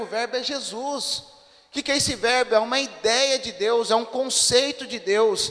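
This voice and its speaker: The pitch varies in an ordinary way. Noticeable background noise runs underneath. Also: man. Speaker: pastor. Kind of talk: sermon. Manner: conversational, asks the congregation questions.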